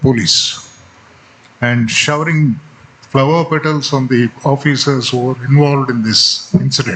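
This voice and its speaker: A man with a Telugu accent speaks at a fairly high pitch with ordinary pitch variation. Noticeable background noise runs underneath. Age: 70s. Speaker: retired Supreme Court judge. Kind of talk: speech.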